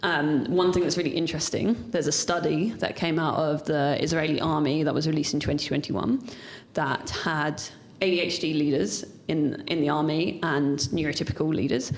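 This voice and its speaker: At a fairly quick pace, a woman speaks with a very deep, low pitch, ordinary pitch variation and very even loudness, with audible room echo. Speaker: ADHD leadership coach. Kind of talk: casual interview chat. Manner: fast.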